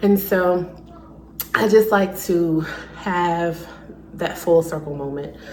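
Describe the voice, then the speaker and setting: A woman with an American accent speaks at a very slow pace in a fairly low voice, with audible room echo and noticeable background noise. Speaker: lifestyle vlogger. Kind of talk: casual vlog talk to camera. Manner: quiet, toned down; chatty, filler-heavy.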